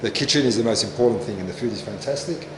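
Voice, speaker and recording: Speaking very fast, a man uses a medium pitch with ordinary variation. Audible room echo and noticeable background noise surround him. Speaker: vlogger and mining camp worker. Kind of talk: casual travel vlog. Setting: outdoors walking around a mining camp. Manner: hesitant, many fillers; softly spoken to avoid waking night shift.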